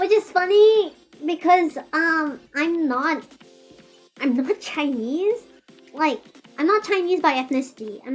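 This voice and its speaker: An extremely high-pitched woman's voice at a fairly slow pace, with lively intonation and music in the background. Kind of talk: casual, chatty.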